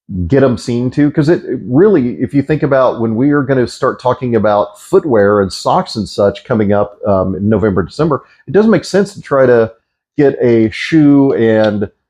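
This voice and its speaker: An American accent marks this man's plain, everyday voice, heard at a moderate pace and medium pitch. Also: lively intonation. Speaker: travel vlogger. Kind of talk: casual vlog advice.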